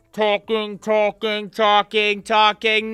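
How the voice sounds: A put-on character voice, nasal and monotone with flat intonation, at a very slow pace. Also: female-sounding voice, medium pitch for a woman.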